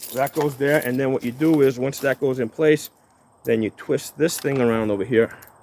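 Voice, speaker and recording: A man at a medium pitch and moderate pace, with ordinary pitch variation and noticeable background noise. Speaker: firearms YouTuber. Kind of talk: tutorial. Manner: casual.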